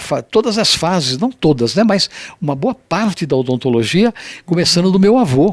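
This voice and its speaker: A man speaks at a moderate pace with a high pitch. His pitch swings very widely. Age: 70s. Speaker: dentist. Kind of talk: interview.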